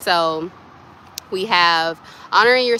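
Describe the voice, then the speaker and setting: A soft-spoken woman at a fairly low pitch and a fairly slow pace. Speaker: spiritual wellness vlogger. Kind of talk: casual spiritual advice talk. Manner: soft-spoken, speaks low; casual, meandering.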